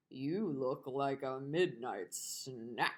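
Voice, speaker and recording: A woman's put-on character voice, gruff and growling, at a very deep, low pitch. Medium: read story. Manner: snarling, gruff.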